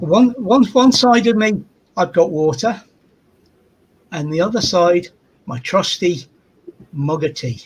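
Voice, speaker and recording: A high-voiced man speaks at a fairly slow pace with lively intonation and long, frequent pauses. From northeast England. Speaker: Air Force veteran. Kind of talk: casual chat.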